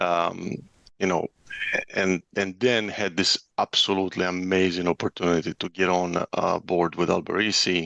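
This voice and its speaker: A man with a non-native accent speaks at a very deep, low pitch and a moderate pace in a monotone, flat intonation. His tone is bright and sharp, with a dry, close sound and no echo. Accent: foreign. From former Yugoslavia. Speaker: construction estimating director. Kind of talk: podcast interview. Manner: casual, many filler words.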